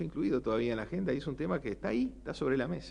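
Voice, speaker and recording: A man talks with a Uruguayan accent. His pitch swings very widely. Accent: Rioplatense Spanish (Uruguayan). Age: 60s. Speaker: economist, panelist. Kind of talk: panel talk. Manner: hesitant, many fillers.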